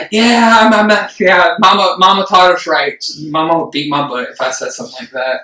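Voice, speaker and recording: A man's raised, projected voice, high-pitched and lively in intonation, at a fairly quick pace with big swings in loudness over noticeable background noise. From Puerto Rican family. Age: 30s. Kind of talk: casual chat. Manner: animated.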